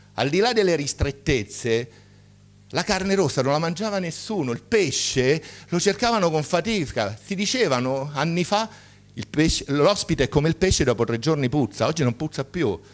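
With a fairly high pitch, a man's voice makes very wide pitch swings at a moderate pace. He takes long, frequent pauses. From Marche, Italy (Ascoli Piceno); Marche, Italy. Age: 60s. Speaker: medical doctor, conference speaker; conference speaker. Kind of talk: conference talk. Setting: stage with audience. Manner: animated. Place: hall. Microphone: podium.

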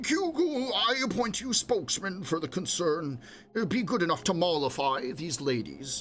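In a put-on character voice, a man talks shakily at a high pitch and moderate pace, with clear background noise behind him. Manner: quavering.

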